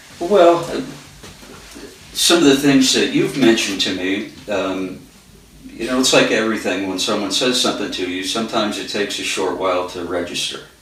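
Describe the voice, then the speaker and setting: Lively intonation at a fairly quick pace, with audible room echo and noticeable background noise. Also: man, medium pitch for a man. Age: 60s. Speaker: carpenter. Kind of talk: interview. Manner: halting.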